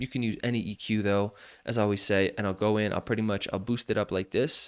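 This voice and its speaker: Recorded very cleanly with a silent background and a dry, close sound with no echo, the speech moves at a fairly quick pace with ordinary pitch variation. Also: man. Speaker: music production tutor. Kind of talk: tutorial. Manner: halting.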